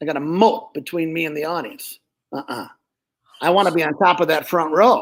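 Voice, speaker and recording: This man speaks fairly quickly in an animated tone, his pitch high with ordinary variation. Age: 60s. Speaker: ventriloquist. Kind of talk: casual chat.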